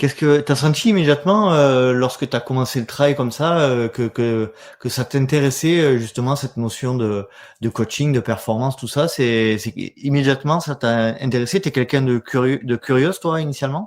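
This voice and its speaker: With ordinary pitch variation, an ordinary speaking voice keeps to a moderate pace. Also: man, medium pitch for a man. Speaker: podcast host. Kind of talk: podcast interview.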